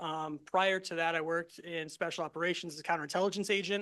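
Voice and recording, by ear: With an American accent, a man speaks fast in a bright, sharp tone, his fairly high pitch held in fairly even intonation.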